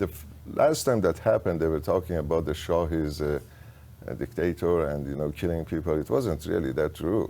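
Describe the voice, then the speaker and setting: A man with a very deep, low pitch and a dark, mellow tone speaks at a moderate pace with vocal fry and ordinary pitch variation. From Iran, Tehran. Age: 70s. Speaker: insurance agent, business owner. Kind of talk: interview conversation.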